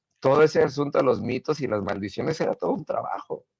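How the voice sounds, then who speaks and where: A man speaks at a moderate pace with a medium pitch. His voice is somewhat breathy. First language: not Spanish (speaking Spanish). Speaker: guest speaker. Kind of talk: casual interview.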